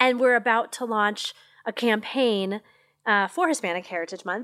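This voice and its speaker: In a very clean recording with a silent background, a woman speaks at a moderate pace and fairly high pitch. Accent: American. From US Midwest (Missouri). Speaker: marketing executive. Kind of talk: interview. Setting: podcast lounge at a marketing event. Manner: animated, passionate.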